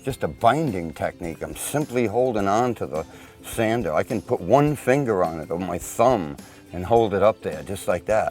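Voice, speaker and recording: Over noticeable background noise, a man talks at a moderate pace. His pitch is medium and his intonation lively. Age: 60s. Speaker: boat repair demonstrator. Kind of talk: tutorial. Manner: casual.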